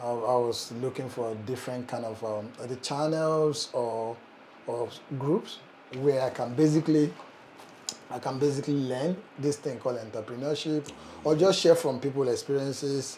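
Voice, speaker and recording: A man's medium-pitched voice at a moderate pace, with ordinary pitch variation and noticeable background noise. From Nigeria. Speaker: startup founder, channel host. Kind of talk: casual conversation. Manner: halting, many fillers and repeats.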